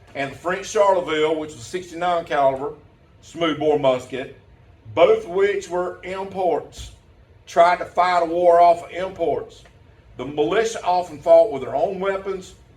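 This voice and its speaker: In a Southern US accent, the speaker talks at a fairly slow pace with big swings in loudness, ordinary pitch variation and audible room echo. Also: man, high pitch for a man. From US South. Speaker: teacher and pastor. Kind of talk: conference presentation.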